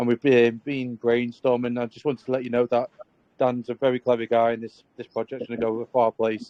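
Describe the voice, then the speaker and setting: A man with a Scouse accent speaks at medium pitch in a monotone, flat intonation. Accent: Scouse-sounding. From northern England, Southport. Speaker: community member supporting a project. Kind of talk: casual chat.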